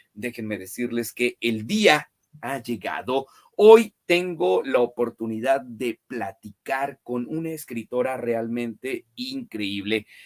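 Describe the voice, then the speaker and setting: The delivery comes at a very slow pace with ordinary pitch variation. The sound is dry and close, with no echo. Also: man, medium pitch for a man. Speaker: book channel host, interviewer. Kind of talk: interview.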